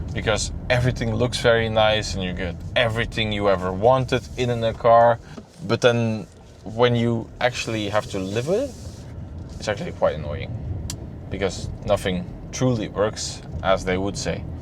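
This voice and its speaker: A man speaks with a Flemish accent at a moderate pace. His pitch is fairly low. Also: ordinary pitch variation. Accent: Flemish Dutch accent in English. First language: Dutch. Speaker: car reviewer. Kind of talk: casual video review. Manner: halting, many repeated words.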